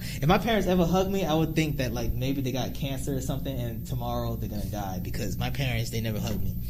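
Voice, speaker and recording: A man's very deep, low voice with an American accent, very wide pitch swings and a very fast pace with hardly any pauses, amid audible room echo and noticeable background noise. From New Jersey. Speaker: YouTuber. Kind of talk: casual chat. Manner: loud.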